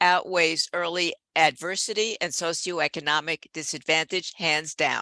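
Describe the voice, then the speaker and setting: A woman speaks at a moderate pace in a fairly low, bright and sharp voice with ordinary pitch variation. The recording is very clean and silent behind her, with a dry, close sound and no echo. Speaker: professor. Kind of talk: keynote lecture. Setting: conference talk with slides.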